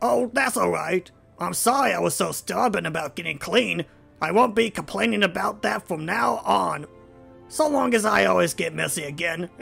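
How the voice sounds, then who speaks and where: In a put-on character voice, a man speaks with a high pitch at a moderate pace. Faint music plays in the background. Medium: audio drama. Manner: eager, excitable, stubborn.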